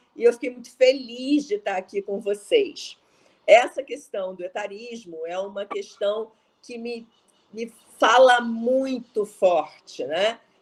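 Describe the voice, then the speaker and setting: Speaking at a very slow pace, a woman uses fairly high pitch and lively intonation, with big swings in loudness. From Rio de Janeiro, Brazil. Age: 60s. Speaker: speaker on entrepreneurship. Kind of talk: talk.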